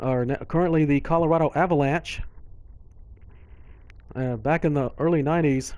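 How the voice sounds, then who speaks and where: A man's fairly high voice with a Texan accent, at a moderate pace, with fairly even intonation and long, frequent pauses. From Texas. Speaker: sports gamer and commentator. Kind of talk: casual gameplay commentary on a live stream.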